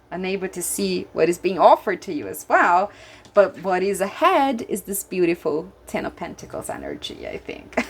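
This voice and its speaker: In a Brazilian Portuguese accent, a woman talks with big swings in loudness. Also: moderate pace. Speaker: tarot reader. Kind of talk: tarot reading with guidebook passages. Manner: animated.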